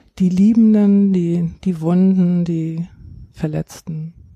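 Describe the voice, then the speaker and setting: A woman's somewhat breathy, dark, mellow voice, fairly low in pitch, in flat, monotone intonation. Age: 60s. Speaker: grief counselor. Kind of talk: interview.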